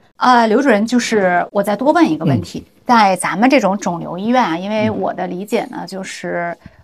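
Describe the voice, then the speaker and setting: The voice has lively intonation and vocal fry. Its loudness swings widely, with hardly any pauses. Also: woman, medium pitch for a woman, moderate pace. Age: middle-aged. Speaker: podcast co-host. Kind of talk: casual chat.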